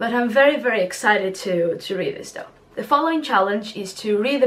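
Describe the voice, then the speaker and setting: A woman speaks at a fairly high pitch with ordinary pitch variation. Her pace is moderate, and noticeable background noise runs underneath. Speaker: book vlogger. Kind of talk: casual vlog. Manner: animated.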